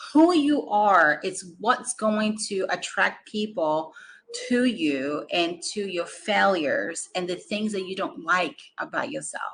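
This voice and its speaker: A woman speaks at a very slow pace with a Brazilian Portuguese accent. Her medium pitch shows very wide pitch swings. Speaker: business coach. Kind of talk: motivational talk.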